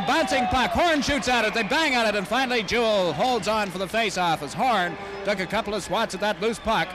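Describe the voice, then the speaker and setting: A man's high-pitched voice, at a fairly quick pace with lively intonation, over noticeable background noise. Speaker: radio hockey play-by-play announcer. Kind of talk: live radio sports play-by-play commentary. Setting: radio broadcast from a hockey arena. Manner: fast, energetic.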